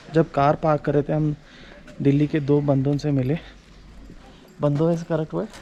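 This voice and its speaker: Over noticeable background noise, a man with a fairly high pitch talks at a moderate pace in a monotone, flat intonation, leaving long, frequent pauses. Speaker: travel vlogger. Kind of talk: casual vlog chat. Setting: outdoors at a monastery. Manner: halting, code-switching.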